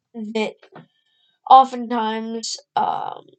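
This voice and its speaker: Her intonation monotone and flat, a woman speaks in a fairly high pitch. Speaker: amateur earthquake commentator. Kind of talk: casual screen-recorded explainer. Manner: hesitant, many fillers.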